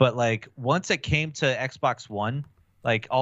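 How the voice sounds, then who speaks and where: A man in an Upper Midwest US accent, medium pitch with ordinary pitch variation, at a fairly slow pace. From Wisconsin, Milwaukee. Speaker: gaming podcaster. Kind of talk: casual chat.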